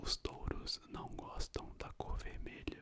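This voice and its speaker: A man whispers at a very slow pace. His tone is calm. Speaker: ASMR content creator. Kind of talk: ASMR book reading of trivia, casual talk to camera. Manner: soft-spoken, calm, relaxing.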